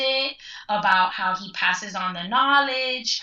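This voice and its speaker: A woman speaks at a moderate pace in a fairly high voice with ordinary pitch variation. Noticeable background noise sits behind her. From Cuban-American, Cuban family from Spain. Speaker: folklorist. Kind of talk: casual interview. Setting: phone call.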